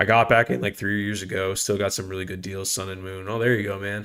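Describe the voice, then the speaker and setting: This man speaks at a very fast pace. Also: very clean recording, silent background. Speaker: trading card streamer. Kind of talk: live stream chat. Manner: halting.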